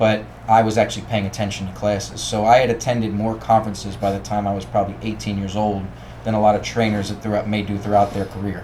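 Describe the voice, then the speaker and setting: A man with a Baltimore accent talks at a very fast pace in a fairly low pitch with monotone, flat intonation. The recording has noticeable background noise and audible room echo. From Baltimore, Maryland. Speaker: strength coach. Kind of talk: podcast interview.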